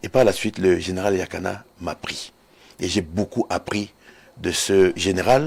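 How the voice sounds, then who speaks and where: Ordinary pitch variation runs through a man's fairly low voice. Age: 60s. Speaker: retired air force colonel and security analyst. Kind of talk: TV interview. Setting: TV studio.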